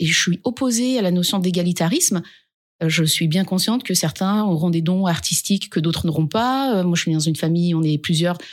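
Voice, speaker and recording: A woman speaks in an energetic tone at a fairly low pitch, with ordinary pitch variation. Her loudness stays very even. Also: fairly quick pace. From France, Dauphiné village. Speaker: regional politician and foundation director. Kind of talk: interview.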